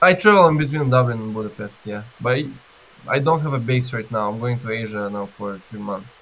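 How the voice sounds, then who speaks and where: Talking at a fairly quick pace, a man with a non-native accent keeps a medium pitch with ordinary pitch variation. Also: big swings in loudness. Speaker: B2B marketing expert. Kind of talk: interview. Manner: halting, with restarts.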